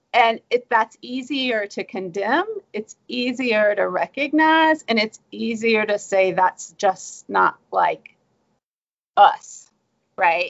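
Using a Southern US accent, a woman with a fairly high pitch talks very slowly with lively intonation. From US South. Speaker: history professor and author. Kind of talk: academic interview.

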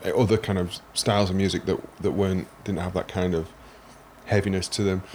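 Speaking with a Sheffield accent, a man uses a fairly low pitch at a moderate pace. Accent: Sheffield northern English. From Sheffield, northern England. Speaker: podcast host, guitarist. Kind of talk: casual interview chat.

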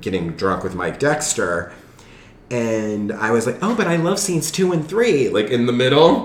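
Over noticeable background noise, a man with a Southern California accent talks at a moderate pace with very wide pitch swings. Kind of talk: casual chat.

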